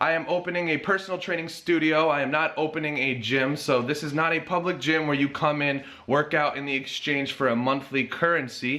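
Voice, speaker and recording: The voice has an American accent and a bright, sharp tone at a fairly quick pace. Room echo is audible. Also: man. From US Northeast (Connecticut). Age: 20s. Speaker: personal trainer and fitness vlogger. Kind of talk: casual vlog announcement. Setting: home garage gym.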